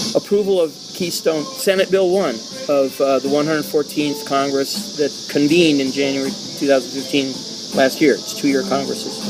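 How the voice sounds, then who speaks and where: At a moderate pace, a man pitched fairly high speaks with ordinary pitch variation while noticeable noise runs in the background. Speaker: political talk show host. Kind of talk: casual political discussion. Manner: loud.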